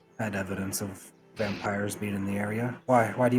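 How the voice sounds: The intonation is fairly even. It is delivered in a natural reading voice.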